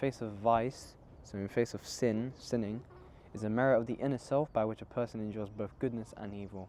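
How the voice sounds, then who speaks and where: Soft-spoken, a man talks at a fairly quick pace with a dark, mellow tone. His intonation stays fairly even. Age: young. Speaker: Islamic book reviewer. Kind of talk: casual book reflection. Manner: halting.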